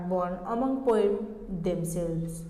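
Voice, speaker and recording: A woman with a Nepali accent speaks fairly slowly with ordinary pitch variation, amid noticeable background noise and audible room echo. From eastern Nepal. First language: Sunuwar. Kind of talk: formal presentation. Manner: formal.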